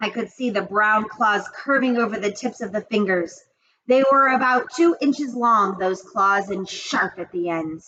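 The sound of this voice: An unforced reading voice with ordinary pitch variation, against a quiet background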